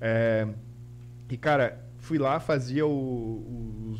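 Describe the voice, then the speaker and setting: Speech comes at a very slow pace with ordinary pitch variation, and audible room echo fills the recording. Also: man. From Santa Catarina, Brazil (Guaramirim). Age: 30s. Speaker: designer and YouTuber. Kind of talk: casual interview chat.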